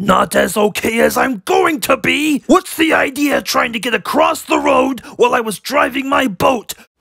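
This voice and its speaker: A cartoonish character voice shouting at a moderate pace with hardly any pauses. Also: man, extremely high pitch for a man. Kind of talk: cartoon comic overacting. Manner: blustering, threatening, yelling like an old sailor.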